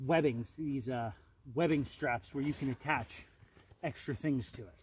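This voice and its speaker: Here a man speaks at a moderate pace. His voice is somewhat breathy with ordinary pitch variation. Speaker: outdoor gear vlogger. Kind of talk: gear review monologue outdoors. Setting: outdoors in forest. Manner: filler-heavy, halting.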